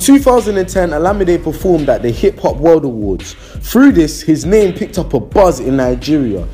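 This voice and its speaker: This man's high voice carries lively intonation at a moderate tempo, with noticeable background noise behind it. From England. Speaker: YouTube music documentary presenter. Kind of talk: casual vlog intro; documentary narration.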